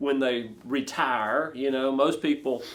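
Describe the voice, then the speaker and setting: A man talks at a fairly slow pace with a fairly high pitch. He has a plain, everyday voice. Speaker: ministry podcast host. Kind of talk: interview questions.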